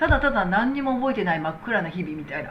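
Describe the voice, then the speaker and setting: A woman speaks over noticeable background noise. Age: 60s. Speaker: medical technician and business owner. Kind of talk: casual talk replying to viewer comments.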